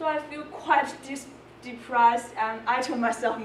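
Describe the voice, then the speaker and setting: A woman speaks at a moderate pace in a fairly high pitch. Noticeable background noise and audible room echo surround her. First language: not English. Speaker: volunteer peer tutor. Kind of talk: presentation. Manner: halting.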